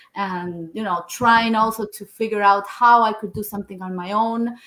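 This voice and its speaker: In a Spanish accent, a woman talks at a fairly slow pace. Her intonation stays fairly even. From Argentina. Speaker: engineer and online business owner. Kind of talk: interview.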